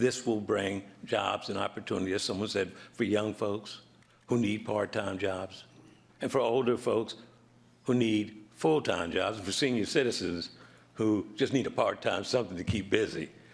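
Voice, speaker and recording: A man's plain, everyday voice, fairly low in pitch, at a moderate pace with fairly even intonation. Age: 60s. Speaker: resident speaking at public hearing. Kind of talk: public comment at town meeting.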